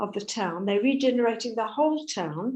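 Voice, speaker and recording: A dark, mellow voice with an English accent, lively intonation and a fairly quick pace, with audible room echo. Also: woman. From South Africa. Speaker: Holocaust educator and heritage charity chair. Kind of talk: talk with Q&A.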